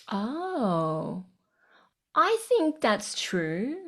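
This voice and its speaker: Here is a woman with an Australian accent. The recording is very clean, with a silent background. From Sydney, Australia. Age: 40s. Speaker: breathwork facilitator and coach. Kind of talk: casual interview.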